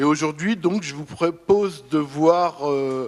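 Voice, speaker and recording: A plain, everyday voice from a man, at a fairly slow pace with ordinary pitch variation. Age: 50s. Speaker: video artist. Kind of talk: conference testimony. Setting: conference round table.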